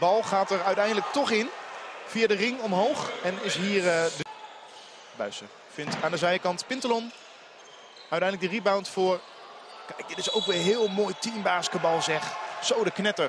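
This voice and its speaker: Over noticeable background noise, in a dry sound with no echo, a man with a high pitch and ordinary pitch variation speaks at a moderate pace, with long, frequent pauses. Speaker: sports commentator. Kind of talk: live commentary. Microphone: headset.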